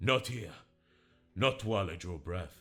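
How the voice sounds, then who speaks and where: In a quiet, growling put-on character voice with lively intonation, someone speaks at a moderate pace over music in the background. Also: man, fairly low pitch for a man. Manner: quiet, growling, resolute.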